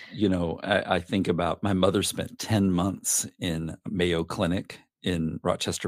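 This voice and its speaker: A man with a Southern US accent speaks at a fairly slow pace in a very deep, low pitch with fairly even intonation. The recording is very clean, with a silent background. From US South, northeast Arkansas. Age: 50s. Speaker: podcast guest telling his adoption story. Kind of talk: interview, personal life story.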